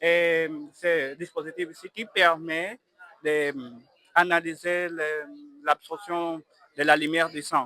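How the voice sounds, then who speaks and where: A man with a high voice talks very slowly in a flat monotone, his loudness swinging widely, with long, frequent pauses and a dry, close sound without echo. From Angola. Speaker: student tech project presenter. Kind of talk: interview. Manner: halting.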